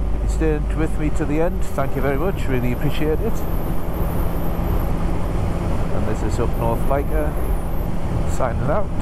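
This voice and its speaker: A man at a moderate pace with long, frequent pauses, dry and echo-free, over loud background noise. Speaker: motovlogger. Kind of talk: casual vlog chat. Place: motorbike. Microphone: helmet.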